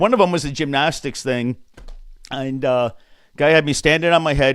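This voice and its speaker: Moderate pace and ordinary pitch variation in a man's normal speaking voice. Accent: American. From Connecticut. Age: 60s. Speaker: sports broadcaster. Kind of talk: casual chat.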